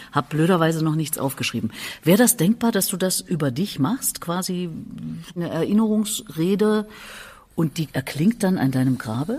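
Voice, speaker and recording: A woman with a fairly low pitch, an unremarkable speaking voice, lively intonation and a moderate pace. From Erfurt, Thuringia. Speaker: podcast host. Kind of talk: interview. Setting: cultural centre venue.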